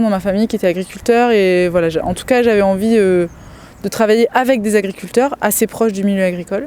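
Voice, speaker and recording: A woman speaks at a fairly quick pace with a medium pitch. Her tone is dark and mellow, and her intonation stays fairly even. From Loir-et-Cher, Loire valley, France. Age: 30s. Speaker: dairy farmer. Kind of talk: interview testimony. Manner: hesitant, frequent fillers.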